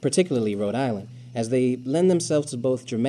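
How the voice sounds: The passage is read in a natural reading voice. Its intonation is lively.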